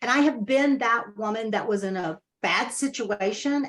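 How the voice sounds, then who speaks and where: With an unremarkable speaking voice, a woman in an American accent speaks at a moderate pace and fairly high pitch, with ordinary pitch variation. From Central Texas. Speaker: author and real estate coach. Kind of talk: interview.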